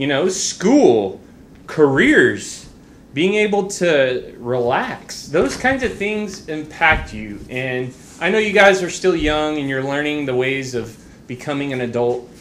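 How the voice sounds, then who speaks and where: Loud and very slow, a man speaks at a fairly high pitch with very wide pitch swings, amid audible room echo and noticeable background noise. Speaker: school staff member giving announcements. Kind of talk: school announcements. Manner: halting.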